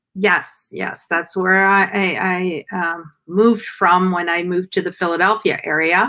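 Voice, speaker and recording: A woman speaks at a fairly slow pace with hardly any pauses, her medium pitch set in a bright, sharp tone. Her intonation stays monotone and flat in a very clean recording with a silent background. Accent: French Canadian. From Quebec, near Montreal. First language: French. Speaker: skin care business owner. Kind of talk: casual interview chat.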